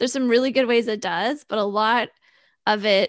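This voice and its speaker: Against a quiet background, a woman talks at a fairly quick pace. Hers is an ordinary speaking voice, pitched fairly high. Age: 30s. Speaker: financial strategist and podcaster. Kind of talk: casual interview.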